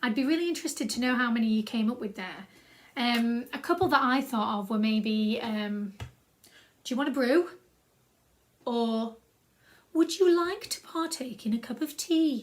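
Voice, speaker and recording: A woman with a South Yorkshire accent talks at a moderate pace with a high pitch and lively intonation. She leaves long, frequent pauses. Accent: own South Yorkshire accent, loves it. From South Yorkshire, England. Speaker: creative writing workshop leader. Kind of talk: tutorial. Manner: casual, upbeat.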